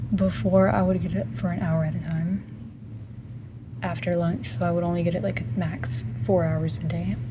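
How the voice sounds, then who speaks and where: In a room with audible echo and noticeable background noise, a woman speaks quietly at a moderate pace, with long, frequent pauses. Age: 18. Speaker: vlogger. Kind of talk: casual chat. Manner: quiet, lowered voice; hesitant, many ums.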